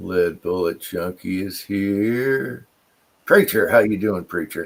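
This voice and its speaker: A man with fairly low pitch speaks at a very slow pace. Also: ordinary pitch variation. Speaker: livestream co-host. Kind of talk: casual chat. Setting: video livestream. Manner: slurred speech.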